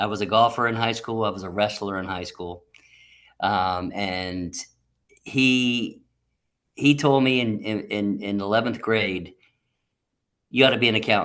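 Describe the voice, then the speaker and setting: Against a quiet background, a man with an American accent speaks fairly slowly, with long, frequent pauses, fairly low pitch and ordinary pitch variation. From US, Southern Maryland. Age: 60s. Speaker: accountant, retired firm leader. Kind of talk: interview conversation. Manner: halting, many repetitions.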